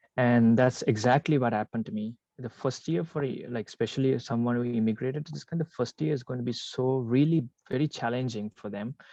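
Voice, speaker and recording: Medium-pitched male speech with a dark, mellow tone, ordinary pitch variation, a moderate pace and a dry, close sound with no echo. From Sri Lanka. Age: 20s. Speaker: immigrant business owner. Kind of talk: interview conversation. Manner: halting, many fillers and restarts.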